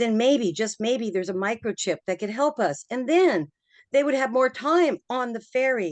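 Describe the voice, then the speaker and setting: Over a quiet background, a plain, everyday voice speaks at a moderate pace with lively intonation, in a dry, close sound with no echo. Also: woman. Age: 60s. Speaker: community member commenting at town hall. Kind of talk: public meeting comment.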